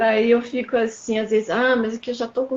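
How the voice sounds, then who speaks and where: This woman's voice sits fairly high and sounds somewhat breathy. She keeps a moderate pace. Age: 60s. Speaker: guest in conversation. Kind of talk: casual conversation.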